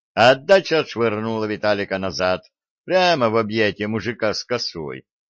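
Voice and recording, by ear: Lively intonation in a natural read-aloud voice, quiet surroundings behind it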